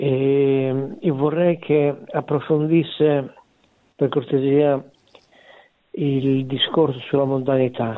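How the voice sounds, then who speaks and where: The delivery is very slow and monotone, with flat intonation and long, frequent pauses. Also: man, fairly high pitch for a man. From Forlì, Emilia-Romagna. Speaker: caller. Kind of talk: phone-in question. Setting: phone call.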